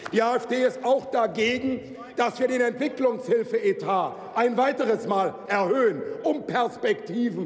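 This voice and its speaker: Over light background noise, a man speaks at an extremely high pitch with lively intonation. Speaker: member of parliament. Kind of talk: parliament oratory, a combative, forceful rebuttal delivered from the lectern. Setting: parliament chamber. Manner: heated, emphatic and accusatory, hammering repeated phrases. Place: hall. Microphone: podium.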